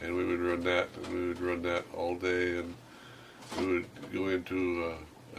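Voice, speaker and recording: Over noticeable background noise, a man speaks at a fairly slow pace in a very deep, low pitch with a monotone, flat intonation. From Alaska. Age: old. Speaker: trapper. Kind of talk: interview. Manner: halting.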